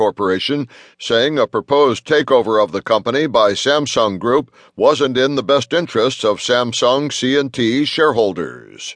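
An ordinary speaking voice from a man, medium in pitch with ordinary pitch variation at a moderate pace, in a dry, close sound with no echo over a quiet background. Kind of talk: news reading, scripted headline briefing. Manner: formal, crisp, even-paced newsreader delivery; neutral, businesslike, measured.

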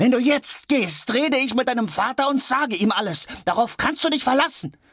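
A man uses a put-on character voice, shrill and extremely high-pitched. He keeps a moderate pace and very even loudness. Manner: hysterical, shrieking, bitter mocking.

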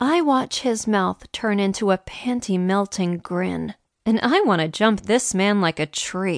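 Set against a quiet background, the speaker uses a natural reading voice.

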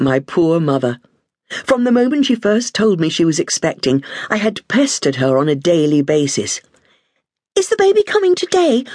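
With a southern English accent, a woman at medium pitch swings very widely up and down while her loudness stays very even, in a dry, close sound with no echo. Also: moderate pace. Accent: English (southern England). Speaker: audiobook narrator. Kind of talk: audiobook narration of a memoir, an old nanny recalling childhood. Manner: warm, wistful storytelling, savoring nostalgic detail; gently humorous, self-deprecating asides.

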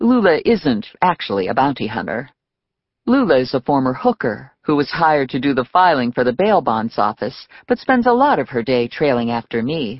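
This woman's voice is very deep and low, with very wide swings in pitch. She talks at a moderate pace. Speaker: audiobook narrator.

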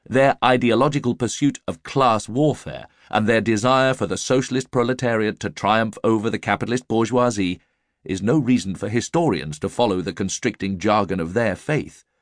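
Recorded dry and close with no echo, a man in a plain, everyday voice speaks at a medium pitch and moderate pace with ordinary pitch variation. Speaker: audiobook narrator. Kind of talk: audiobook narration of nonfiction, read aloud. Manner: formal, measured, even-paced.

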